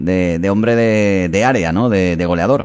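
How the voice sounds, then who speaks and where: With an ordinary speaking voice, a man talks fairly low, his pitch varying in an ordinary way. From Spain. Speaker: sports radio host. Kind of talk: radio interview. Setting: radio studio.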